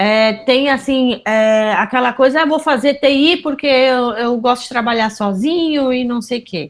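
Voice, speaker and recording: The speaker has a southern Brazilian accent and ordinary pitch variation. The pace is fairly slow, with hardly any pauses. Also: woman, high pitch for a woman. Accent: gaúcho. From southern Brazil, Pelotas, Rio Grande do Sul. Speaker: university professor. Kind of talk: interview.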